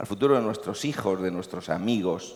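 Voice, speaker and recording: Here a man speaks in a Murcian accent. His pitch is fairly low, with ordinary variation. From Murcia, Spain. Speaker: company CEO. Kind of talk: panel discussion. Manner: hesitant, many fillers.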